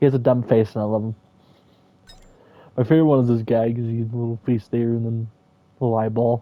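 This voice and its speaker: The intonation is monotone and flat. A man delivers it very fast. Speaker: gaming youtuber. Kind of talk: casual gameplay commentary. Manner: casual, rambling with fillers.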